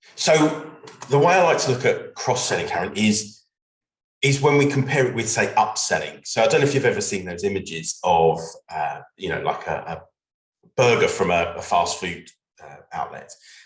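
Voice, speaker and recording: With a British accent, a man speaks at a moderate pace. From UK. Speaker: legal business development consultant. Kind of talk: webinar conversation.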